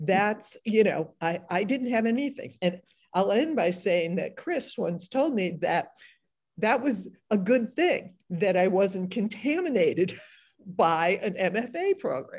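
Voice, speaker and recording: A woman speaks at a very slow pace with lively intonation, her voice somewhat breathy over a quiet background. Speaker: novelist and panel moderator; panelist. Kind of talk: panel discussion. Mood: warm, animated. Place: home room. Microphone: video call.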